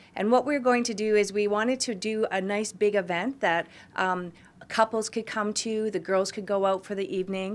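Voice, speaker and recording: A woman speaks with a western Canadian accent at a moderate pace. Her medium pitch follows fairly even intonation. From Canada, Kamloops, British Columbia; British Columbia, Canada. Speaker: salon owner and event organizer. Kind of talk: interview. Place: office.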